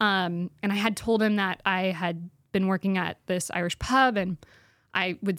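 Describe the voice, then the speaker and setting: A woman with an American accent has an ordinary speaking voice and fairly even intonation. The recording is very clean with a silent background and a dry, close sound with no echo. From Spokane, Washington. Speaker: stand-up comedian and actor. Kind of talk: casual interview chat. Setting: studio.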